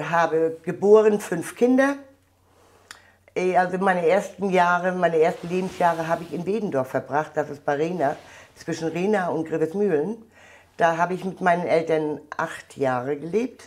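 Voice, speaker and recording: The speech keeps a moderate tempo and ordinary pitch movement, with a quiet background behind it. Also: woman, fairly low pitch for a woman. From Mecklenburg, northern Germany. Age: 60s. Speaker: contemporary witness, volunteer at a border museum. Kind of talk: interview answer. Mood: emotional, recalling painful past. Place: hall. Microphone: lapel.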